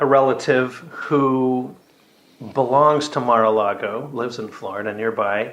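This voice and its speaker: Noticeable background noise and audible room echo surround a man who speaks fairly slowly. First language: French. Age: old. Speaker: doctor. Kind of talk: casual chat.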